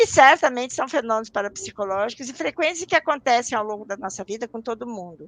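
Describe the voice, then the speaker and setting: This woman speaks fairly quickly in a plain, everyday voice. Her pitch is fairly high, and the sound is dry and close with no echo. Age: 60s. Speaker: parapsychology professor and researcher. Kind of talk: interview on a live stream. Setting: live online broadcast.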